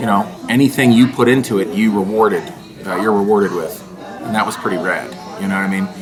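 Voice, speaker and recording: A man's fairly low voice at a very fast pace, with ordinary pitch variation, long and frequent pauses, and music in the background. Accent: American. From Pittsburgh, Pennsylvania. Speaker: stand-up comedian. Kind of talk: interview. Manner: loud and manic; energetic.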